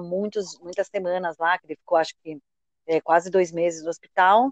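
The recording has a dry, close sound with no echo as a woman speaks at a medium pitch. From Brazil, São Paulo. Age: 30s. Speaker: author and marketing professional living with HIV. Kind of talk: podcast interview, personal testimony.

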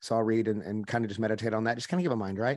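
With a slight Oklahoma accent, a man speaks over a quiet background. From Oklahoma, rural. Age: 40s. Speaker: life and business coach, former pastor. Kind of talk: podcast interview. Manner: intense, fiery delivery.

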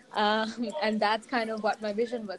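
A woman's intonation stays fairly even. Noticeable noise sits behind her voice. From Sri Lanka. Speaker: entrepreneur, co-working space founder. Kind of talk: interview. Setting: outdoors.

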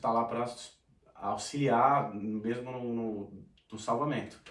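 A man is speaking. Audible room echo can be heard. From Brazil, São Paulo city. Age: 30s. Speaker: sertanejo singer. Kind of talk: casual chat.

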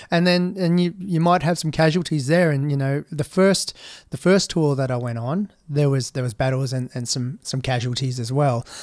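With an Australian accent and fairly high pitch, a man speaks at a moderate pace with hardly any pauses and ordinary pitch variation in a very clean recording with a silent background. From Western Australia, outback mining towns and Perth. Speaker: army veteran. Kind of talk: interview.

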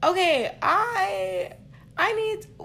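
A woman talks in an animated tone with very wide pitch swings. Noticeable background noise can be heard. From Stockton, California. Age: 30s. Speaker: podcast co-host. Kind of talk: casual chat.

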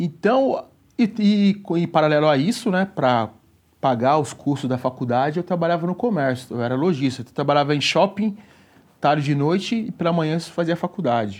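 A man with a plain, everyday voice talks at a moderate pace, fairly high in pitch and with lively intonation. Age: 40s. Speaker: personal trainer. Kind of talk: casual chat.

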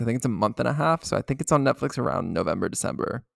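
This man talks very fast with ordinary pitch variation, and the sound is dry and close with no echo. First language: English; speaks some French as second language. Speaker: podcast host. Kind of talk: casual chat.

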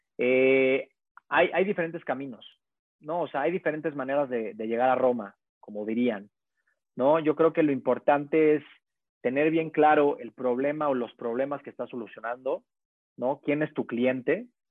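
Someone speaks at a moderate pace in a central Mexican accent. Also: man, fairly high pitch for a man, ordinary pitch variation. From Mexico, Puebla. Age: 20s. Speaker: startup founder and CEO. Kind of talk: casual interview. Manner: halting, many repeated words.

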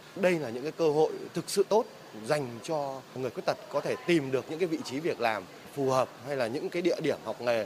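Over noticeable background noise, a man talks at a very fast pace in a fairly high pitch with lively intonation. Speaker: city government official. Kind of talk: interview soundbite.

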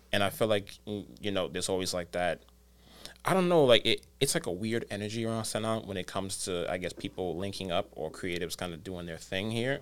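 The man has an ordinary speaking voice, fairly low in pitch, moving at a fairly quick pace with ordinary pitch variation. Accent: American. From New York City, the Bronx. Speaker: video editor. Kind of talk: casual chat.

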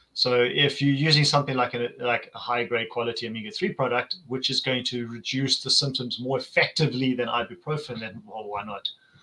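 Amid noticeable background noise, a man at medium pitch talks at a fairly quick pace with hardly any pauses and ordinary pitch variation. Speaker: podcast host. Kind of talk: casual chat.

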